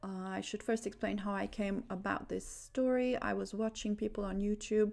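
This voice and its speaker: A woman with a Romanian accent speaks at a moderate pace on a very clean recording with a silent background. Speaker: religious video creator. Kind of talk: religious monologue. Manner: halting, many fillers.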